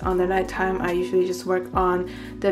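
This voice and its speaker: A woman with a fairly low pitch speaks over clear background music. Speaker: vlogger. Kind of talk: casual vlog chat.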